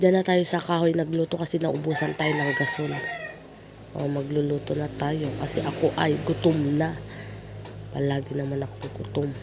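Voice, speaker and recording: Noticeable background noise fills the recording. Through it, a woman talks at a moderate speed. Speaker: cooking vlogger. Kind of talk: voice-over narration. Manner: playful, self-teasing.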